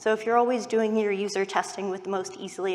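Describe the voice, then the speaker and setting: Noticeable background noise accompanies a woman with a Californian accent. She talks fairly quickly at a medium pitch. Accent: Californian American. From US West Coast, Silicon Valley. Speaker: UX researcher. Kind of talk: conference talk.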